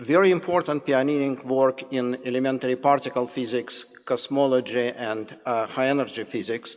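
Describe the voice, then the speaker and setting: A man with a Russian accent speaks at a medium pitch and a moderate pace. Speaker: professor introducing a guest speaker. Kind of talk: formal introduction of a lecture speaker. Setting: lecture hall with audience. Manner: halting, with false starts.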